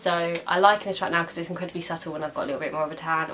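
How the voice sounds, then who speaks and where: A woman's fairly low, monotone voice with flat intonation, over noticeable background noise. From England, Essex. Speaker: beauty vlogger. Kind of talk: makeup tutorial. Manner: casual, chatty.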